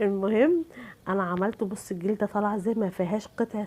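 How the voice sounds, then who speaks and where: Speaking with an Egyptian accent, a woman shows ordinary pitch variation. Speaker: cooking channel host. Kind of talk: cooking tutorial.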